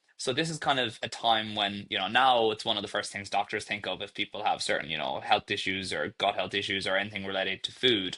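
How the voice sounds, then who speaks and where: Very fast and with hardly any pauses, a man with a slight Irish accent speaks in a bright, sharp tone at fairly low pitch with ordinary pitch variation. The background is quiet. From Ireland. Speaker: startup founder and CEO. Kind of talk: podcast interview.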